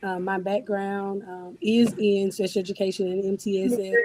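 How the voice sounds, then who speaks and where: Noticeable background noise runs under this recording. A woman speaks at medium pitch. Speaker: educator, school administrator. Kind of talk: panel discussion. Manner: halting, many fillers.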